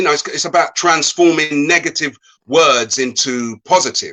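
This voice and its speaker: Speaking at a moderate pace with a strong English accent, a man uses fairly even intonation and a fairly high pitch. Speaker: motivational speaker. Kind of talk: online interview. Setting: live video call. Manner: hesitant, many fillers and repeats.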